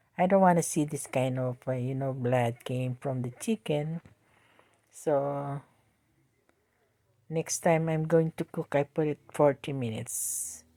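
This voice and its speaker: Recorded very cleanly against a silent background, a woman with a Filipino accent speaks fairly slowly in a dark, mellow tone with ordinary pitch variation. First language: Tagalog. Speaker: home cooking vlogger. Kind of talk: cooking tutorial. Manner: talkative, halting.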